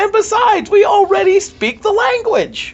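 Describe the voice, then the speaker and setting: A man uses a squeaky, put-on character voice at an extremely high pitch. His pace is moderate. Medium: stage play. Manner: chummy, upbeat, fast-talking.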